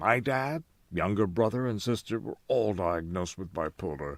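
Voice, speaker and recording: A normal speaking voice: a man at a fairly low pitch, with lively intonation and a moderate pace. The recording is very clean, the background silent. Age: 60s. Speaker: former radio news director sharing mental health story. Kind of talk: personal testimony vlog.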